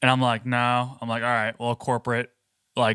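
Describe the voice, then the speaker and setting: The man is heard on a very clean recording with a silent background. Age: 20s. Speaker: podcast co-host and video creator. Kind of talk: casual chat. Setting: studio. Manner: animated.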